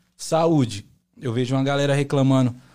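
A man with a medium pitch talks at a fairly quick pace with ordinary pitch variation. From Brazil, São Paulo and Bahia. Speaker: singer-songwriter. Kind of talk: casual chat.

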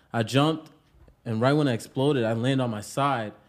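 A man with an American accent speaks at a fairly quick pace and medium pitch, his intonation fairly even, over noticeable background noise. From Pawtucket, Rhode Island, US. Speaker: rapper. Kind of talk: casual interview. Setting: studio.

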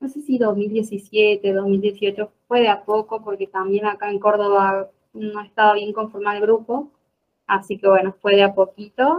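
Speaking very slowly, a woman keeps a flat, monotone delivery at a medium pitch. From Argentina, Jujuy (north). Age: 20s. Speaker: law student and political activist. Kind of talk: interview conversation.

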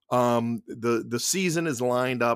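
In an unremarkable speaking voice, a man with an American accent talks at a medium pitch and a fairly slow pace, on a very clean recording with a silent background and a dry, close sound with no echo. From Boston area, Massachusetts (Somerville). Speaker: presidential candidate. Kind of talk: interview.

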